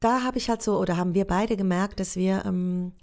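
Fairly low-pitched with a dark, mellow tone, a woman talks at a fairly quick pace. The recording is very clean against a silent background. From Switzerland. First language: Swiss German (speaking German). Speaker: actress. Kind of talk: casual interview. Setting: acting school in Zurich.

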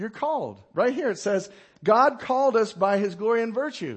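This man's voice sits high in pitch. Its pitch variation is ordinary. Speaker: pastor. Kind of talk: Sunday sermon, conversational Bible teaching to a congregation. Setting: church service before a live congregation. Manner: informal, folksy and rambling, with asides and chuckles; hesitant fillers and repeated words, uh and we're, we're.

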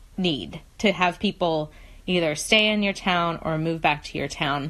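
At a very slow pace, a woman talks with ordinary pitch variation. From West Virginia. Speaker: economic development consultant. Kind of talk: casual chat.

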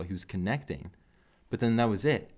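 A man talks with lively intonation at a moderate pace in a plain, everyday voice. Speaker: MMA podcast co-host. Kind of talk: casual chat. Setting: studio.

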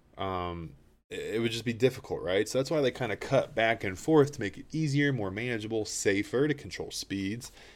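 A man with an American accent speaks at a fairly quick pace in a medium pitch with ordinary pitch variation, on a very clean recording with a silent background. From Appalachia, Virginia. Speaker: podcast host. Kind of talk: casual monologue. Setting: studio.

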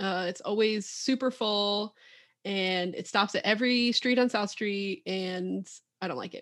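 At a fairly slow pace, a woman with an unremarkable speaking voice holds a medium pitch with ordinary pitch variation. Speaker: music therapist and podcast host. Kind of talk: casual chat.

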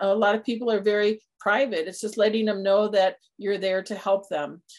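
At a moderate pace, a woman talks in an unremarkable speaking voice of medium pitch. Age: 60s. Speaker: senior care planning firm founder. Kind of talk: interview.

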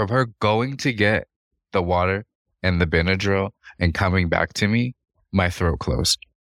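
Recorded very cleanly against a silent background, a man with a fairly low pitch talks at a moderate pace with long, frequent pauses, his loudness very even and the sound dry and close with no echo. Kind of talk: casual chat. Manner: flat, sounds uninterested.

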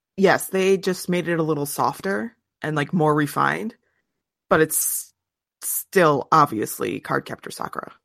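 Very deep and low for a woman, her voice carries vocal fry at a fairly slow pace. The recording is very clean and dry, close-miked with no echo and a silent background. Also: lively intonation. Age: 30s. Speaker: podcast co-host. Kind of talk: casual chat.

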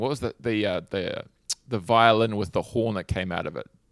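A man of medium pitch talks at a fairly quick pace in a New Zealand accent. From New Zealand, Hawke's Bay. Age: 40s. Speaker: guitar pedal company founder. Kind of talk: casual interview.

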